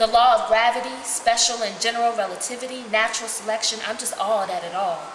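Fairly quick speech with fairly even intonation comes through light background noise and audible room echo. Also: woman. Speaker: reader of prisoner letters. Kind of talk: dramatic reading of a letter. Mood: earnest, calm. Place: home room. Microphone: camera far.

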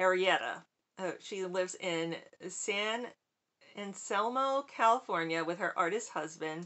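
A fairly slow pace and ordinary pitch variation from a female speaker. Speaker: subscription box reviewer. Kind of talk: casual unboxing vlog chat. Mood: cheerful, chatty. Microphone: webcam.

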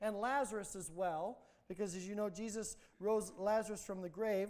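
A man with a high pitch speaks at a moderate pace with fairly even intonation. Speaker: pastor. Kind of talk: sermon. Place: church.

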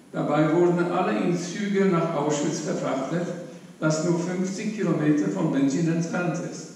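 Strong room echo surrounds a man with a high pitch. He speaks at a fairly slow pace. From Hamburg, raised in Upper Silesia, Poland; Poland. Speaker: Holocaust survivor; witness. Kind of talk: eyewitness testimony. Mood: grave, sober. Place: hall.

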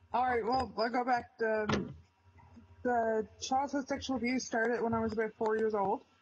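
Over noticeable background noise, a woman speaks at a moderate pace with very even loudness. Her intonation is monotone and flat. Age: 20s. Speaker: PTSD survivor. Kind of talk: testimony. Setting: video call. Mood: somber, recounting painful past. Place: home room. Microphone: video call.

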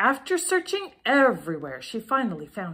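A woman at a moderate pace, high in pitch, with very wide pitch swings. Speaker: storybook reader. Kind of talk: children's story reading. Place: home room. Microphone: phone near.

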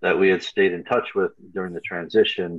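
A man speaks against a quiet background. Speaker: panelist. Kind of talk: panel discussion answer. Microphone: video call.

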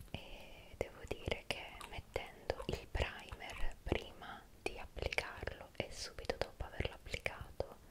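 Fairly slow speech from a woman, with loud noise in the background. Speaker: beauty content creator. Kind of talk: soft-spoken product show-and-tell. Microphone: studio mic.

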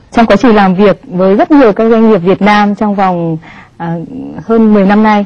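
This woman has a plain, everyday voice at a medium pitch. Her pitch varies in an ordinary way, and her pace is moderate. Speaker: TV talk show host. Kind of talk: TV interview. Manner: formal.

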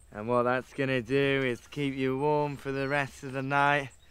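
A man talks at a fairly slow pace. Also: dry sound with no echo. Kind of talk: mock documentary presenting. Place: forest.

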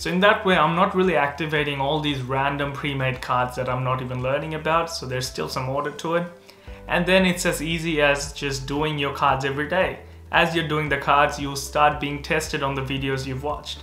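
A man speaking at a fairly quick pace with fairly even intonation, audible room echo and faint music in the background. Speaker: medical student youtuber. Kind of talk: casual explainer vlog. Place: home room.

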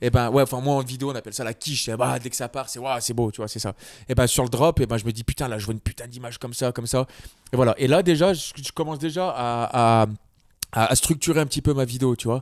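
A man speaks very fast at a medium pitch. His intonation is fairly even, and the sound is dry and close with no echo. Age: 30s. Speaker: videographer. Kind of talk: casual chat. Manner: hesitant, many fillers.

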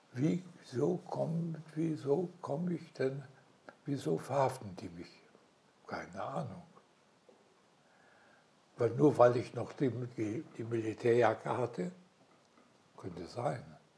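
Dark and mellow in tone with vocal fry, a man speaks at a very slow pace with long, frequent pauses. His intonation is lively and his loudness swings widely. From Silesia. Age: 80s+. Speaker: war veteran, retired headteacher. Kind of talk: interview answer. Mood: calm, reflective storytelling. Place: home room. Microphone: lapel.

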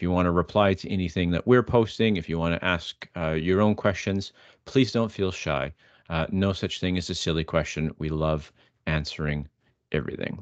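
A man's very deep, low voice at a moderate pace with ordinary pitch variation, dry with no echo, over a quiet background. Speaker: webinar host. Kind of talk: webinar presentation. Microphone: video call.

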